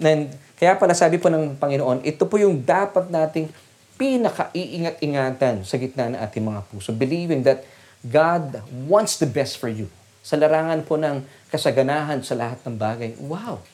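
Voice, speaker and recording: A man with a fairly high pitch uses lively intonation at a moderate pace. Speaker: preacher. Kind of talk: sermon. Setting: online church service. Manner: animated, rallying the congregation with call-and-response; earnest, formal and polite, Taglish.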